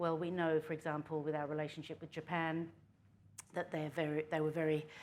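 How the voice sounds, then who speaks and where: With a slight Australian accent, a woman speaks in a very deep, low voice with monotone, flat intonation. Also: very clean recording, silent background. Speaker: politician. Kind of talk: panel talk.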